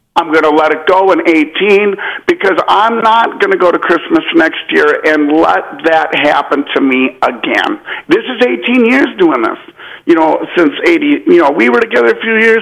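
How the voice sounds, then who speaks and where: Over noticeable background noise, a man with a high voice talks at a moderate pace, his pitch swinging very widely while his loudness stays very even. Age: 40s. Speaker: caller. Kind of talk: phone-in confession.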